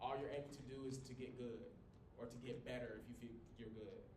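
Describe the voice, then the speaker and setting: A loud man with a medium pitch speaks in an animated tone. The recording carries noticeable background noise and audible room echo. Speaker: college communication instructor. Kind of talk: lecture. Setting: small classroom, no microphone. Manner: loud, projecting.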